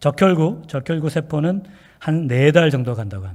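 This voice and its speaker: The man's tone is dark and mellow. There is a somewhat breathy quality to it. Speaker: pastor. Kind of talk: sermon. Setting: church.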